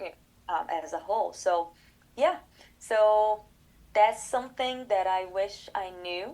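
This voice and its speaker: A woman with a Portuguese accent and a medium pitch, dark, mellow in tone, at a very slow pace with ordinary pitch variation. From Brazil. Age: 30s. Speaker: collaborative pianist and professor. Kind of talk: interview conversation. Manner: halting, many fillers.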